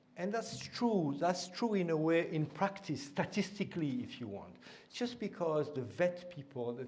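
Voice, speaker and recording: In a room with audible echo, a somewhat breathy voice moves at a moderate pace with very wide pitch swings. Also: man. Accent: French. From France. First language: French. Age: old. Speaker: invited lecturer on education policy. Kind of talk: lecture. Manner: hesitant, with many fillers and repetitions.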